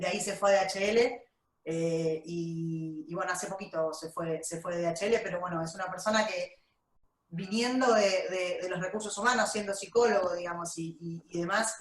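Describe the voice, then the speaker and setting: At a moderate pace and medium pitch, a woman talks in a normal speaking voice with ordinary pitch variation. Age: 40s. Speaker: HR director. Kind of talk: interview.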